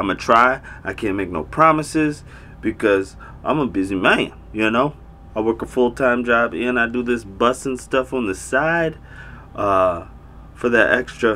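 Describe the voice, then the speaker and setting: A man speaks at a fairly slow pace. His pitch varies in an ordinary way. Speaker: vlogger. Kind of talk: casual vlog chat. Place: home room.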